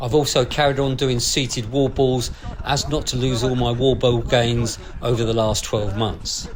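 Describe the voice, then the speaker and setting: Amid noticeable background noise and audible room echo, a man speaks at a moderate pace and medium pitch in a flat monotone. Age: 60s. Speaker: amateur runner and video blogger. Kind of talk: scripted narration.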